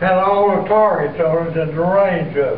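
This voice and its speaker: A man with an Appalachian accent at a very slow pace, fairly even intonation, audible room echo and noticeable background noise. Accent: Appalachian Southern US. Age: 90s. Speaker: war veteran. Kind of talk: testimony. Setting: school assembly. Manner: halting.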